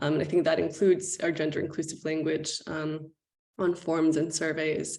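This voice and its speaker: A woman's very deep, low voice with vocal fry, monotone and flat in intonation, at a fairly slow pace. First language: Spanish. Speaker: panelist on diversity and inclusion. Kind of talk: panel discussion. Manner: hesitant with frequent fillers.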